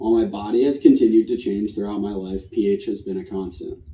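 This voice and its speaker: This man speaks at a fairly quick pace. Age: 20s. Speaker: patient sharing testimony. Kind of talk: testimony. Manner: read from prepared text.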